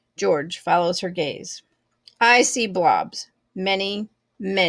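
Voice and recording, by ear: Over a quiet background, the text is read aloud in a natural voice with lively intonation.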